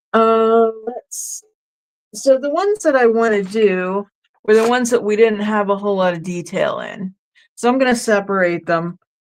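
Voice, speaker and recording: A woman with a fairly high pitch and ordinary pitch variation talks at a moderate pace over a quiet background. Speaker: craft livestream host. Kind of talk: casual craft tutorial livestream. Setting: live stream, home craft table. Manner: frequent filler words so and um.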